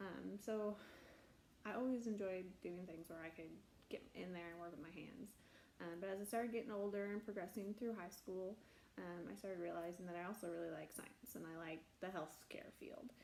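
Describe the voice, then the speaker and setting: A medium-pitched woman's voice in an American accent, with audible room echo. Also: ordinary pitch variation, moderate pace. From US Midwest, South Central Nebraska. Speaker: prosthetist and orthotist. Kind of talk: personal story monologue. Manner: casual with frequent fillers.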